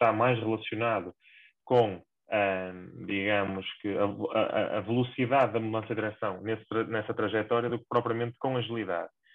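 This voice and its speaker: Speaking with a northern Portuguese accent, a man at a medium pitch moves at a fairly quick pace with fairly even intonation. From northern Portugal. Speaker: sports performance coach. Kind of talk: podcast interview.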